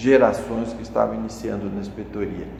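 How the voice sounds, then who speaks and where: Audible room echo and noticeable background noise are present in the clip. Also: man. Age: 70s. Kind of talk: interview. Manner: halting, with repetitions.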